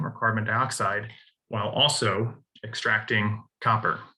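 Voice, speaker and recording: With an American accent, a man talks at a fairly slow pace in a medium pitch, his tone bright and sharp. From US Midwest, Southern Illinois. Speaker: university lecturer. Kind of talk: lecture. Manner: halting, many fillers.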